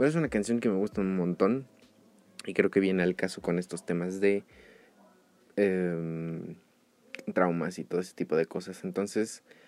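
At a fairly slow pace with long, frequent pauses, a man with a Mexico City accent speaks at a fairly low pitch with ordinary pitch variation. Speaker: podcast host. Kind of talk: casual solo podcast monologue. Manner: hesitant, many fillers.

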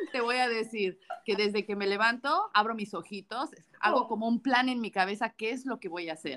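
Fairly quick delivery in a normal speaking voice, its pitch varying in an ordinary way. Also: woman, fairly high pitch for a woman. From Mexico. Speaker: podcast co-host. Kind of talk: casual chat.

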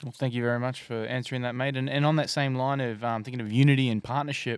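The recording is very clean, with a silent background. A man with an Australian accent speaks at a medium pitch with fairly even intonation. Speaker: podcast host. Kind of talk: casual chat.

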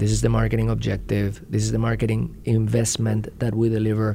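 Audible room echo around a man talking fairly quickly. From Spain and Puerto Rico. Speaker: marketing executive. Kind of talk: interview. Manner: halting, repeats words.

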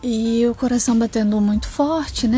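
A woman's fairly high voice at a moderate pace amid noticeable background noise. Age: 20s. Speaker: podcaster. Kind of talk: solo monologue. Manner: hesitant, many fillers.

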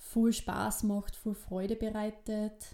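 Over a silent background on a very clean recording, a woman with a Styrian accent speaks in a dark, mellow tone with flat, monotone intonation. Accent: East Styrian dialect, noticeable. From Austria, eastern Styria (Weiz district). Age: 20s. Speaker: midwife and podcast co-host. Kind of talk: casual chat.

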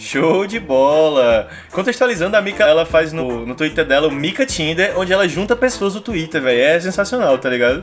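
Speaking at a fairly quick pace, a man makes very wide pitch swings with hardly any pauses. There is noticeable background noise. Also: fairly high pitch for a man. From Brazil, Fortaleza (Ceará). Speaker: podcast host. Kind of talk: casual chat. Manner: animated.

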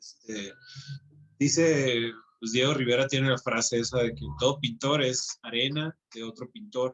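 A man with an unremarkable speaking voice talks at a medium pitch and a fairly slow pace, with ordinary pitch variation. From Mexico, Hermosillo, Sonora. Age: 30s. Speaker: comic book artist. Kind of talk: casual interview.

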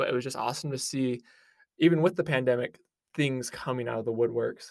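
In a very clean recording with a silent background, a man talks with a Utah accent. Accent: American, Utah. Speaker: sports podcast co-host, student. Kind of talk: casual sports chat.

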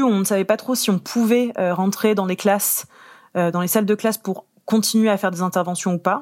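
Over a silent background in a very clean recording, a woman of medium pitch speaks fairly quickly in a plain, everyday voice. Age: 20s. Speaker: arts outreach officer. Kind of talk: interview.

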